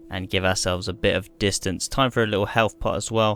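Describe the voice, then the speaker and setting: A man with a British accent. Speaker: gaming youtuber. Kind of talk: gameplay tutorial. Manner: casual, unscripted; fast.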